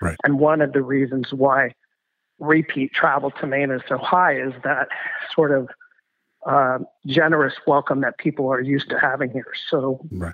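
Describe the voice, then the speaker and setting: A man with an American accent has an unremarkable speaking voice at a fairly high pitch. His intonation stays fairly even, and he keeps a moderate pace. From California. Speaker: hospitality association president. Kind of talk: interview.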